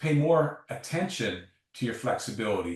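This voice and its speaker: A somewhat breathy man speaks at a fairly slow pace. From Canada. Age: 60s. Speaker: sports science professor. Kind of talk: interview.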